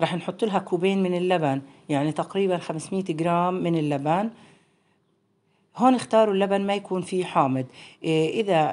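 Ordinary pitch variation accompanies delivery at a moderate pace. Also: woman. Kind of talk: tutorial. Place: home room. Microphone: phone near.

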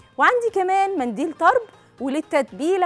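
Faint music plays behind a woman speaking at a moderate pace in an extremely high voice. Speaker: cooking show host. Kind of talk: tutorial. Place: studio. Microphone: lapel.

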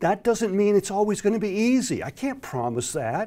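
A man with an American accent speaks in a dark, mellow tone with very wide pitch swings. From US South, Florida. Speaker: exam prep instructor. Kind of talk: direct-to-camera introduction. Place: studio. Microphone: lapel.

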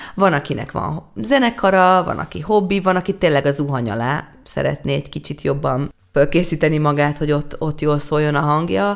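Lively in intonation and fairly quick, a woman speaks with vocal fry at a very deep, low pitch. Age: 30s. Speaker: singer-songwriter. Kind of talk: interview.

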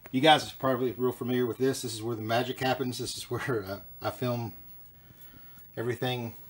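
Words pour out of a man at a very fast pace. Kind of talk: casual vlog chat. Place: home room. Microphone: phone near.

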